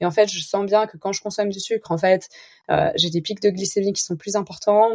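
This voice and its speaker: Fairly quick speech with a dry, close sound and no echo. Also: woman. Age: 30s. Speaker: entrepreneur, founder of an online organic grocery. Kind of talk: casual interview conversation.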